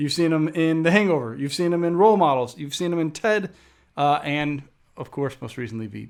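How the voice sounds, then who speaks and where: This is a plain, everyday voice at a fairly quick pace with ordinary pitch variation. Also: man, fairly high pitch for a man. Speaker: podcast host. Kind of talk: casual podcast conversation.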